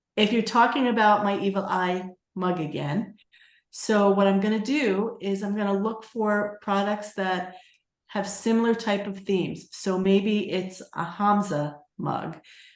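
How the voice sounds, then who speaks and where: A woman in a New York accent, fairly slow in pace, with fairly even intonation. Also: medium pitch for a woman. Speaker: Etsy seller and coach. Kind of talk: webinar tutorial.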